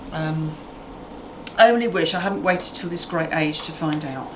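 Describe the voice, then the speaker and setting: Noticeable background noise is present. A woman talks at a moderate pace with a fairly low pitch. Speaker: cooking show host. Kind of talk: tutorial. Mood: warm, relaxed. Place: kitchen.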